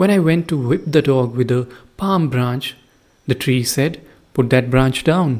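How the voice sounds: Here is a natural reading voice. Its pitch varies in an ordinary way.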